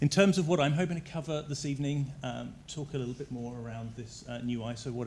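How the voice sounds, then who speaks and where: A man talks at a fairly quick pace in a somewhat breathy voice, with audible room echo. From southern England. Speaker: energy utility executive. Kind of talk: presentation to council. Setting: council chambers.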